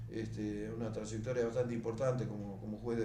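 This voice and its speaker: A man with a medium-pitched voice is heard with audible room echo and noticeable background noise. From Argentina, Buenos Aires province (Mar del Plata area). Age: 70s. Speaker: beekeeper. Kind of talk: oral history interview. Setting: at home. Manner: hesitant, many fillers and repetitions.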